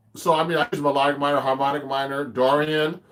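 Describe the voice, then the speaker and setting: A man talks at a very fast pace with a fairly high pitch. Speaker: jazz guitarist teaching online. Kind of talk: live stream guitar tutorial. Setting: live stream on camera. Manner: casual, halting with many fillers.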